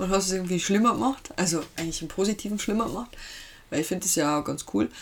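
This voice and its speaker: Pitched at medium height, a woman's unremarkable speaking voice shows ordinary pitch variation. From Lower Bavaria, Germany. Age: 30s. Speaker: host's wife, pop culture fan. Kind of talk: casual chat.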